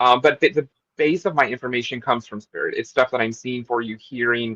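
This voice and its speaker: Talking very fast with an American accent, a man has a bright, sharp tone, medium pitch and ordinary pitch variation, recorded dry and close with no echo. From Texas. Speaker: psychic tarot reader. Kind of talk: interview.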